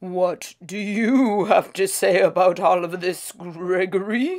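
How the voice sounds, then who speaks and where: A woman's raspy, put-on character voice at medium pitch and a fairly slow pace. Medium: read story.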